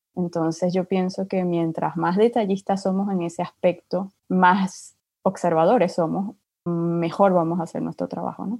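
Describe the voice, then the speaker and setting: Against a quiet background, a woman speaks in a fairly low, dark, mellow voice with monotone, flat intonation, and the sound is dry and close with no echo. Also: fairly slow pace. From Venezuela. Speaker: UX designer. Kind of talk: casual interview.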